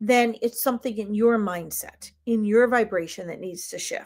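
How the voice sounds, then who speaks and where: With an American accent, a woman speaks in a normal speaking voice. Her pitch is fairly high and her pace fairly slow. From United States. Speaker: spiritual reader and live stream host. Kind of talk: live stream reading and spiritual teaching. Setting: live stream.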